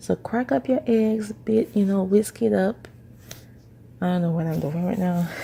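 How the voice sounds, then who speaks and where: A woman at medium pitch talks at a moderate pace, somewhat breathy and with lively intonation. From Haitian. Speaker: home cook. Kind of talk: cooking voice-over. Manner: casual, chatty.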